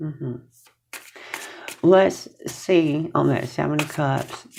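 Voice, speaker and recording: This woman's voice sits very deep and low, with a dark, mellow tone and vocal fry. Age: 60s. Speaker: tarot reader. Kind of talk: tarot reading to camera. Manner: casual, conversational.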